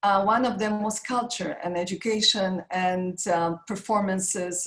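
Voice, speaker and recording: A woman with a Polish accent speaks at a very slow pace and a medium pitch. Her voice is somewhat breathy, with fairly even intonation. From Poland (Warsaw). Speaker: makeup artist and business founder. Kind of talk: interview.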